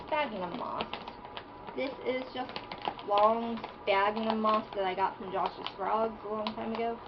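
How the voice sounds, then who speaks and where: A woman speaks very slowly at a fairly high pitch. Noticeable background noise sits behind her. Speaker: isopod and reptile keeper. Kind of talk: casual talk to camera, hobby tutorial.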